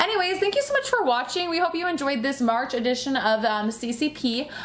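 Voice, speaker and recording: Loud and animated, a woman speaks at a high pitch with lively intonation against noticeable background noise. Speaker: pin collecting youtuber. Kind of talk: casual chat.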